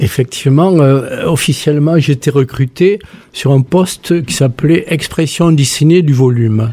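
Somewhat breathy, a man speaks at a fairly slow pace with a fairly high pitch and ordinary pitch variation. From southwestern France. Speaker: sculptor and retired art teacher. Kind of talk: radio interview.

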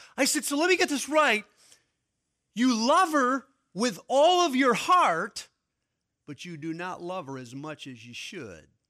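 A raised, projected voice at a fairly slow pace, with very wide pitch swings, big swings in loudness and long, frequent pauses, in a very clean recording with a silent background. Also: man, extremely high pitch for a man. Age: 50s. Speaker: pastor and preacher at a preaching conference. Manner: conversational and reflective, with frequent stammered repeats; building toward urgent conviction, pressing listeners to seize the moment.

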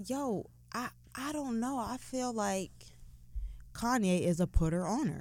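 A woman's fairly high voice with lively intonation, at a fairly slow pace with long, frequent pauses. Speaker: podcast host. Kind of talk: casual chat.

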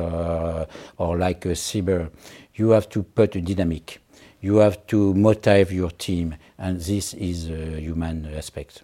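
Very deep and low in pitch, a man speaks at a fairly slow pace in a dark, mellow tone with fairly even intonation. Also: very clean recording, silent background. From France. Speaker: senior naval officer. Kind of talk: interview. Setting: in person in Paris. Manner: halting.

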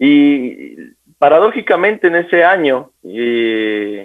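A man with a normal speaking voice, fairly high in pitch, with lively intonation. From Ecuador, Quito. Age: 20s. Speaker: police lieutenant. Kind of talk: radio interview.

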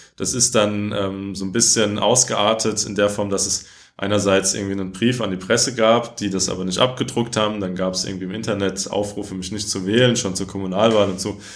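Audible room echo follows a man who talks fairly quickly at a fairly low pitch in a monotone, flat intonation, with hardly any pauses. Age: 20s. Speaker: politician. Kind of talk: interview.

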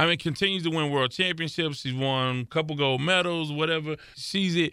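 At a fairly quick pace, a man speaks in a fairly high pitch with ordinary pitch variation. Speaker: podcast host. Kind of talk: casual sports talk podcast. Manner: animated.

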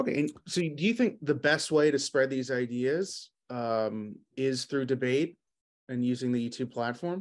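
A man with an unremarkable speaking voice, medium pitch and ordinary pitch variation at a moderate pace. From New York City. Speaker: business owner. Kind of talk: casual chat.

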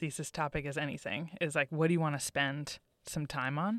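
A woman with an American accent at a fairly quick pace, in a very clean recording with a silent background and a dry, close sound with no echo. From Massachusetts. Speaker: recent theater graduate. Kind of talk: interview. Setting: studio.

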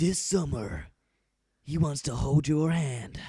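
Delivered at a fairly slow pace, a put-on character voice comes through on a very clean recording with a silent background. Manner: dramatic.

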